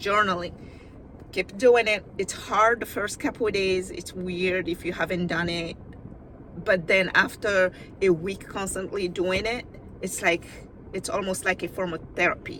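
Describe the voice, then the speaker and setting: Pausing long and often, a woman with a non-native accent speaks at a medium pitch and moderate pace with fairly even intonation, and background noise is noticeable. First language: not English. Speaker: video diarist. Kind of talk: casual vlog monologue. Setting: in a car. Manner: conversational, slightly halting.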